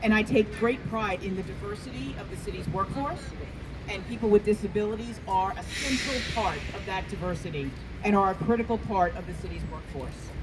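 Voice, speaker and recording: A woman with an American accent at a fairly quick pace, big swings in loudness, audible room echo and noticeable background noise. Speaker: city labor relations commissioner. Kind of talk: rally speech. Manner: halting, many fillers.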